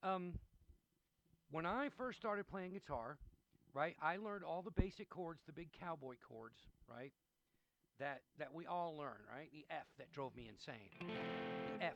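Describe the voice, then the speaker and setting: Using lively intonation and a fairly high pitch, a man speaks at a fairly slow pace with big swings in loudness and long, frequent pauses. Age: 60s. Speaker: guitar teacher. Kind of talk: tutorial. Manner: casual, rambling.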